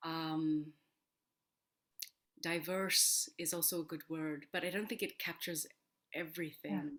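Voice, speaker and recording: Her American accent comes through as a woman speaks at a fairly low pitch with ordinary pitch variation. She goes at a fairly slow pace with long, frequent pauses. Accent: American accent, learned to sound native. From Korea, moved to US at age seven. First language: Korean. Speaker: opera singer and voice teacher. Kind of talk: interview. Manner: halting, many fillers.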